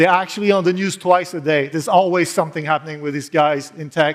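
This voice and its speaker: Fairly even intonation marks this man's high-pitched voice. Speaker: consultancy founder and conference speaker. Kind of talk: conference talk. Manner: fast.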